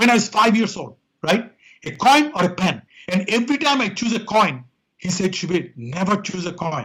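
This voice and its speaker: With a strong Indian accent, a man speaks in a high pitch using lively intonation. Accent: thick Indian. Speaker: quality consultant and author. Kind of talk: interview.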